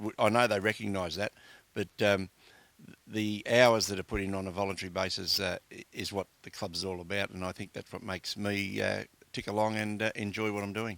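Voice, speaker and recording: A man with an Australian accent at a fairly quick pace, monotone and flat in intonation, on a very clean recording with a silent background and a dry, close sound with no echo. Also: fairly low pitch for a man. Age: 60s. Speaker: community sports administrator. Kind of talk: interview. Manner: hesitant, many fillers.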